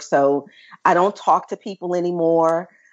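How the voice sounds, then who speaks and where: A woman with a Memphis accent, fairly low in pitch, at a moderate pace with ordinary pitch variation. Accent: Southern US (Memphis). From US South, Memphis, Tennessee. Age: 40s. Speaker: traveler and business owner. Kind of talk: casual interview.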